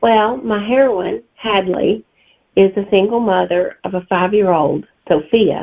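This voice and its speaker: With a strong Southern US accent, a woman speaks at a moderate pace. Her pitch is medium, with ordinary variation. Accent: thick Southern US. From Alabama, US South. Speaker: novelist. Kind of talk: interview answers.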